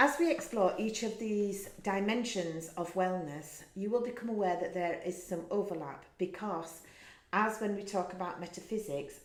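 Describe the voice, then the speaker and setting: A woman with an English accent speaks at a fairly slow pace and medium pitch with lively intonation, amid audible room echo. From England. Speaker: wellness course teacher. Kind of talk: lecture.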